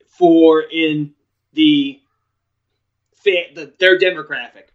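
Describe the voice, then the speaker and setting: With an American accent, this man talks at a fairly high pitch and uses lively intonation. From New York. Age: 30s. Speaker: wrestling podcaster. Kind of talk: casual chat. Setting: live stream.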